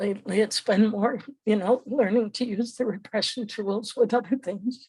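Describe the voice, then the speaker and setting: Somewhat breathy and fairly high-pitched, a woman speaks at a fairly slow pace with ordinary pitch variation. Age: 80s+. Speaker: training participant. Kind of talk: group sharing. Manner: halting.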